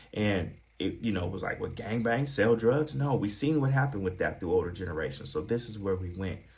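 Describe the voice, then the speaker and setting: Somewhat breathy man in an American accent, lively intonation, and audible room echo. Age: 40s. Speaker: former pimp turned youth advocate and trainer. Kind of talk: training presentation. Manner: fast; hesitant, filler-heavy.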